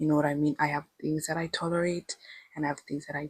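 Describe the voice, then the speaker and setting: Somewhat breathy, a woman talks in an animated tone with a very deep, low pitch. The sound is dry and close, with no echo. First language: not English. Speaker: lifestyle vlogger. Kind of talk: casual vlog monologue.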